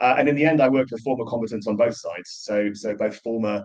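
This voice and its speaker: A man with a Geordie accent speaks at a very fast pace. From northern England, Newcastle (Geordie). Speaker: professor. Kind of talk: lecture.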